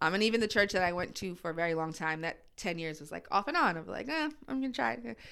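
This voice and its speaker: On a very clean recording with a silent background, a woman with a bright, sharp tone and fairly low pitch rushes along at a very fast pace with hardly any pauses, her pitch swinging very widely and her loudness swinging a lot. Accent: American. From New Jersey suburbs. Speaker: church staff coordinator and social services worker. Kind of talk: casual interview conversation.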